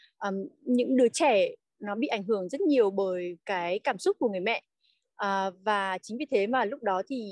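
A woman with a normal speaking voice at a medium pitch, fairly slow pace, and ordinary pitch variation, against a quiet background. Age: 30s. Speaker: working mother of three. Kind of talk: podcast interview.

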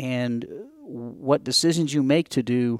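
A man with an American accent and a fairly high pitch is heard in a dry, close sound with no echo. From upstate New York. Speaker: chief engineer, Navy veteran. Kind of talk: casual interview.

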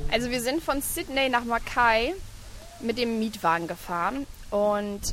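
A woman speaks at a fairly high pitch. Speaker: travelling mother and blogger. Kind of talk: casual interview. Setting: outdoors on a park bench at a playground.

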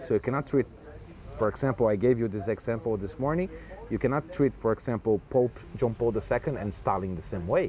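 Speaking with a Portuguese accent, a man uses lively intonation and a medium pitch at a fairly quick pace. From Brazil. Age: young. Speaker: writer and translator. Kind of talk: interview. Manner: halting.

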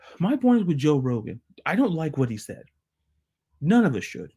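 Somewhat breathy and dark, mellow in tone, the man's fairly high voice moves at a moderate pace with very wide pitch swings. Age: 30s. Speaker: sports podcast host. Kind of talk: solo podcast monologue. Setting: video podcast.

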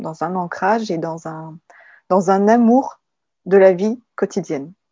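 Very slow speech carries ordinary pitch variation. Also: woman. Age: 30s. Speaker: artist and graphic designer. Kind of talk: casual conversation. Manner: hesitant, with fillers.

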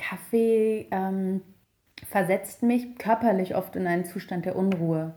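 A woman's medium-pitched voice carries a dark, mellow tone with ordinary pitch variation. The recording is very clean with a silent background. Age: 30s. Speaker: journalist and author. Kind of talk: interview.

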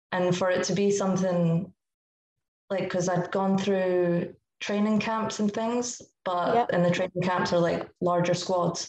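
With a Scottish accent, a woman speaks fairly slowly at a medium pitch. Her delivery is monotone and flat, with very even loudness. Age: 20s. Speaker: football goalkeeper. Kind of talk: podcast interview.

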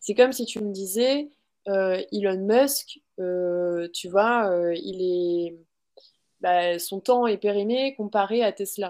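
Over a quiet background, a woman speaks at a very slow pace. Her pitch is medium, with ordinary variation. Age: 20s. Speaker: social media school founder. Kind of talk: interview.

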